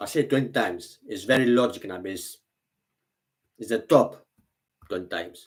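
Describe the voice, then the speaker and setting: A man at a medium pitch talks at a fairly quick pace with ordinary pitch variation, big swings in loudness, and long, frequent pauses. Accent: Greek. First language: Greek. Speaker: vlogger. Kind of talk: casual monologue. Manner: halting.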